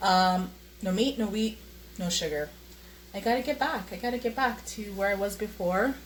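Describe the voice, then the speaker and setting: Vocal fry with long, frequent pauses. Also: woman, medium pitch for a woman, ordinary pitch variation, moderate pace. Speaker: vlogger. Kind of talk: casual vlog monologue. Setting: at home, handheld camera while cooking. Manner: hesitant, many fillers.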